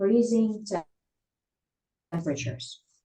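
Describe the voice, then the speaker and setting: With lively intonation and vocal fry, a woman speaks in a dark, mellow tone. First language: Russian. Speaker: English learner in study group. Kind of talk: language practice conversation. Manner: halting.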